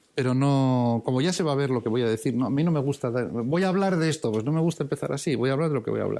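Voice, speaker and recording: A man's very fast speech at a very even loudness. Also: medium pitch for a man, ordinary pitch variation. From Basque Country, San Sebastián. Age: 60s. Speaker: priest and theology professor. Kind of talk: lecture. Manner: halting, many fillers and repetitions; reading aloud.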